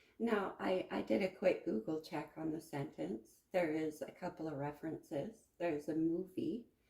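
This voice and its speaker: Soft-spoken, a woman talks at a moderate pace with a very deep, low pitch and vocal fry. Her intonation is lively. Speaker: tarot reader. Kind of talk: tarot reading monologue. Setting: at home at a card table.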